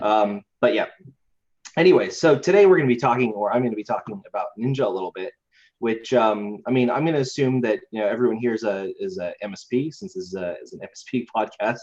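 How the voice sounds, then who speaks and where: Talking at a very fast pace with an American accent, a man uses lively intonation and big swings in loudness. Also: medium pitch for a man. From Idaho, US. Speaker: IT company co-founder. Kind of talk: webinar presentation.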